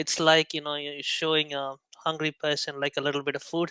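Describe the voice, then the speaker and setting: A man with a non-native accent speaks at a fairly quick pace and a fairly high pitch. The sound is dry and close, with no echo. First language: not English. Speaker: indie app developer. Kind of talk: casual chat. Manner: halting.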